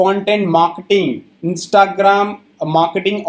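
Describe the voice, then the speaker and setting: His high-pitched voice carries fairly even intonation as this man speaks. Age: 30s. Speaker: YouTuber promoting online courses. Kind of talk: sales pitch.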